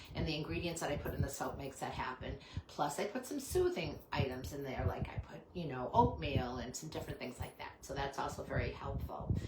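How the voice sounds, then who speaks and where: Amid noticeable background noise and audible room echo, a woman talks at a fairly quick pace with hardly any pauses. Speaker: small business owner selling handmade soaps. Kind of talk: live stream product pitch. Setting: home live stream. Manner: fast; hesitant, many fillers.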